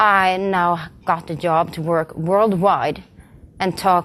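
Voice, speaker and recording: Her Swedish accent comes through as a woman speaks at a medium pitch. Her intonation stays fairly even. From Sweden. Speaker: community manager. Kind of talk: conference talk. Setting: stage with audience. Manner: halting.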